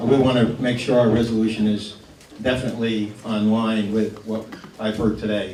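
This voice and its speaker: A man speaks at a medium pitch. Noticeable background noise and audible room echo are present. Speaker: town supervisor, local official. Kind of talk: public meeting remarks. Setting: firehouse meeting with audience, wireless mic. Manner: loud.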